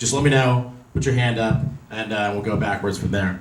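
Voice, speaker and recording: The recording has audible room echo. A man with an American accent speaks in a somewhat breathy voice. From Los Angeles. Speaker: real estate investor speaker. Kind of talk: presentation to meetup audience.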